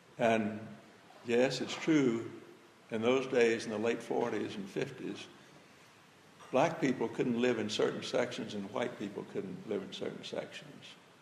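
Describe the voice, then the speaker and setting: A man with a Southern US accent speaks with ordinary pitch variation and long, frequent pauses. Audible room echo and noticeable background noise surround him. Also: fairly slow pace. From Birmingham, Alabama. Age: 80s+. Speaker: retired pastor speaking on civil rights history. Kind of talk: talk to high school students.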